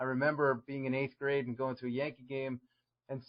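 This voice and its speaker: A medium-pitched man with a New York accent at a fairly quick pace. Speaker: strength and conditioning coach. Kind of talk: podcast interview.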